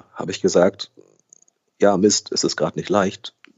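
This man talks at a moderate pace in a fairly low voice. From Germany, raised trilingual with Brazilian mother. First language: Brazilian Portuguese (speaking German). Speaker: actor, voice actor and newsreader. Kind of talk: casual interview.

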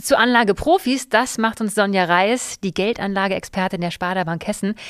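In a very clean recording with a silent background, a woman speaks in an ordinary speaking voice. The sound is dry and close with no echo, her pitch is medium with ordinary variation, and her pace is fairly quick. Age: 40s. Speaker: podcast host. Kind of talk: casual chat.

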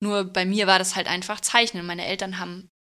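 On a very clean recording with a silent background, a woman speaks at a medium pitch in a bright, sharp tone, her intonation fairly even. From Bavaria, Germany. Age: 30s. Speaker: tattoo artist. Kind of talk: casual interview chat.

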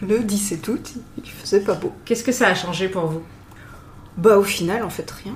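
A woman at a medium pitch with ordinary pitch variation, moderate pace, long, frequent pauses, big swings in loudness and noticeable background noise. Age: 40s. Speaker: nurse, bride. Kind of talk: casual interview. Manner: hesitant, halting.

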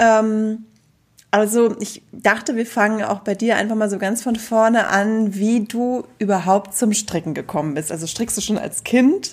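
Someone talks in a plain, everyday voice at a moderate pace. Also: woman. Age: 40s. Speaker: podcast host and yarn shop owner. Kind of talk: casual chat.

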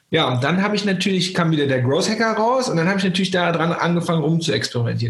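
A man speaks in a high voice with ordinary pitch variation over noticeable background noise. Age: 40s. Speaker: growth hacking trainer and keynote speaker. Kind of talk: interview conversation. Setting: remote call. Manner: energetic.

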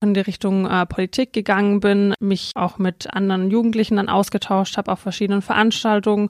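A woman talks at medium pitch. The recording is very clean, with a silent background. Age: 20s. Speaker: local councillor and student. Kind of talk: interview. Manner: hesitant with fillers.

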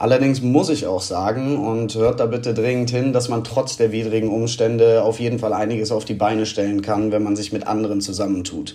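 Noticeable background noise sits behind a man at a medium pitch. He talks at a fairly quick pace with hardly any pauses and fairly even intonation. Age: 20s. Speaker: amateur footballer, marketing manager. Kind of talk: voice message.

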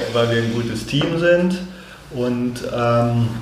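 A man is talking, and the recording has audible room echo and noticeable background noise. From Hanover, Germany. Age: 50s. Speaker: business consultant and photographer. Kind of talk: casual interview. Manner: hesitant, many fillers.

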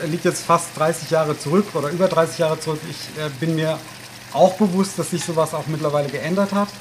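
Over noticeable background noise, a man talks at a fairly quick pace with fairly high pitch and fairly even intonation. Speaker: mayor. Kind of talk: casual chat. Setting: home kitchen.

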